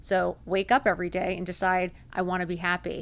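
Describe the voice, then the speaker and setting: A woman speaks in an animated tone with vocal fry. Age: 50s. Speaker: podcast host. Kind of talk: motivational monologue.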